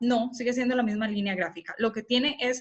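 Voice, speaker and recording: This is a woman speaking. Her pitch is high. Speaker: communication lecturer. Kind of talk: lecture. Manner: fast.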